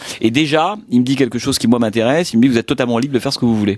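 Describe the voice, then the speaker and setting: Speech comes at a very fast pace from a man. His medium pitch shows ordinary variation. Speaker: film critic and radio columnist. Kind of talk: interview. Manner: hesitant, many fillers.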